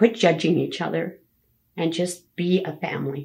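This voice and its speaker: A woman speaks at a fairly slow pace with a Canadian accent, her fairly low voice carrying vocal fry. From Alberta, Canada. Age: 70s. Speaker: grandmother interviewed about her life. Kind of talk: family oral history interview.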